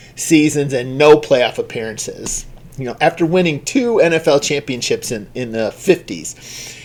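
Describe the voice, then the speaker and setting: A man at a fairly slow pace. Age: 60s. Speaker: trading card collector. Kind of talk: casual chat. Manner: halting.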